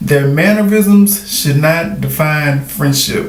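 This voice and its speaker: Room echo and background noise are both noticeable as a man speaks. His pitch is fairly high and his pace very slow. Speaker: vlogger. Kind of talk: casual monologue. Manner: animated.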